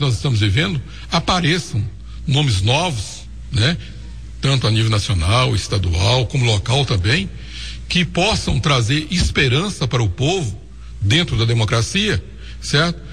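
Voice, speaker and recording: A man with vocal fry speaks at a medium pitch and a fairly slow pace, with long, frequent pauses, very wide pitch swings and very even loudness. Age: 60s. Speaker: former mayor. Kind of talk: radio interview.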